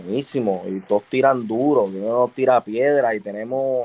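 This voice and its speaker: Noticeable background noise sits behind a man speaking at a medium pitch with ordinary pitch variation. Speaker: retired baseball pitcher. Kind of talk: casual chat.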